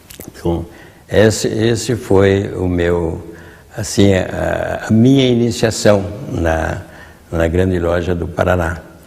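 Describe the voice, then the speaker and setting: Very deep and low in pitch, a man speaks at a very slow pace with long, frequent pauses and ordinary pitch variation. Noticeable background noise and audible room echo fill the recording. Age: 80s+. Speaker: retired Masonic grand master. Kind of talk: interview storytelling. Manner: halting, with repetitions.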